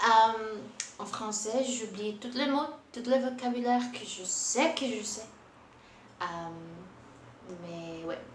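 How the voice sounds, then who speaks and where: With noticeable background noise and audible room echo, a woman speaks very slowly with lively intonation. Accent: Portuguese. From Brazil. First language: Portuguese (speaking French). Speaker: booktuber. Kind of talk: casual vlog book review. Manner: halting, many hesitations and repetitions.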